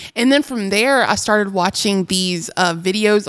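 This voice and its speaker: The pace is moderate and the pitch varies in an ordinary way. The recording is very clean, with a silent background. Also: woman. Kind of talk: casual chat.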